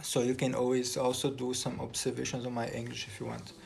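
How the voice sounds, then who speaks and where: Audible room echo colors this man's speech. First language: Portuguese. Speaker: composer and music teacher. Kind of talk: casual vlog talk. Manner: halting, many repetitions and fillers.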